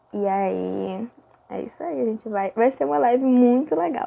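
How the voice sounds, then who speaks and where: In a Brazilian accent, a woman speaks at a fairly quick pace with very wide pitch swings. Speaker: fan page manager. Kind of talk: livestream chat. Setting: live stream.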